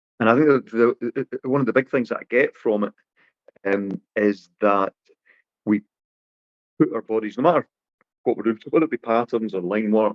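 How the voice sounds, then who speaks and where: A medium-pitched man's voice at a moderate pace with ordinary pitch variation. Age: 40s. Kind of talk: podcast interview. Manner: halting, many repetitions.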